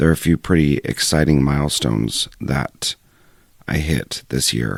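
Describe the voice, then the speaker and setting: A man's very deep, low voice carries vocal fry in a dry, close recording with no echo. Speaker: podcast host. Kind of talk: solo podcast monologue.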